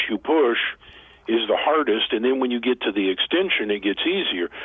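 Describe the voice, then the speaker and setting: Moderate pace amid noticeable background noise. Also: man. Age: 60s. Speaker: author and motivational speaker. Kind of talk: interview. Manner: halting.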